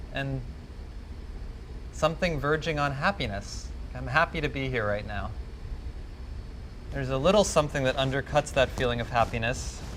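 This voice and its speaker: A man talks at a moderate pace, breaking often into long pauses. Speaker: psychic empath. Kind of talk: live demonstration talk. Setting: stage with audience. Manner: loud.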